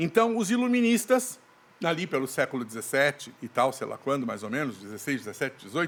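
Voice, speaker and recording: Male speech, fairly quick, with pitch swinging very widely. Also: fairly high pitch for a man. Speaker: actor and theatre director. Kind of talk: podcast interview.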